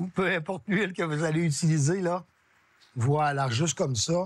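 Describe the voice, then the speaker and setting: A man with a Lac-Saint-Jean Quebec accent speaks in a high pitch. His pace is fairly slow, with ordinary pitch variation. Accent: regional Lac-Saint-Jean Quebec French. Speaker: chef. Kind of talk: cooking show demonstration.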